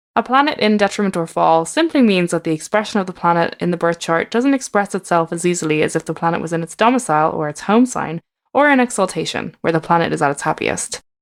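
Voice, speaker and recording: At a very fast pace with hardly any pauses, a woman with an Irish accent and a fairly low pitch speaks with lively intonation on a very clean recording with a silent background. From Ireland. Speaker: tarot reader and astrologer. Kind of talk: podcast narration.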